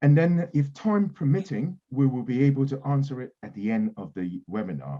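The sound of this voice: A man of medium pitch with lively intonation at a moderate pace.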